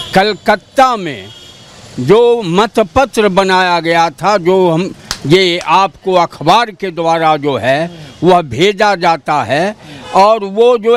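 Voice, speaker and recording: A man's high pitch with lively intonation. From Bihar, Begusarai. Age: 70s. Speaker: local voter. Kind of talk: street interview.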